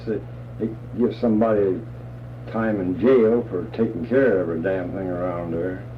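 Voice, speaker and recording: Speaking at a moderate pace with a Midwestern American accent, a man with a fairly low voice uses ordinary pitch variation and long, frequent pauses over noticeable background noise. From Wabash County, Indiana. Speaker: war veteran. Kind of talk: interview answer. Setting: home. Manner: casual, blunt.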